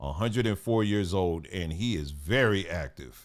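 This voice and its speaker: Over a silent background in a very clean recording, a man speaks at a fairly slow pace with a fairly low pitch and lively intonation. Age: 50s. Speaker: channel host, commentator. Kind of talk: casual monologue commenting on video clips. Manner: halting, with fillers.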